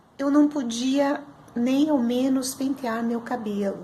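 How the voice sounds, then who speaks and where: Over audible room echo, a woman speaks at a very slow pace with ordinary pitch variation. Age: 60s. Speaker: student giving testimonial. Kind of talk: testimony.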